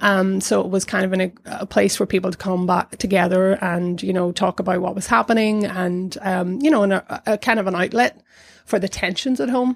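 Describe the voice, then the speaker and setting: A woman with a South Down accent talks at a fairly quick pace in a medium pitch. Her pitch varies in an ordinary way, and the sound is dry and close with no echo. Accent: Northern Irish, South Down. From Northern Ireland, County Down. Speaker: arts centre director. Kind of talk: casual interview chat.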